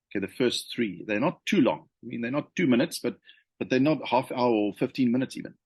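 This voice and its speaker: This man talks very fast at a medium pitch, with ordinary pitch variation. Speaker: leadership consultant. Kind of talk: unscripted talk to camera. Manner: hesitant, many fillers and repetitions.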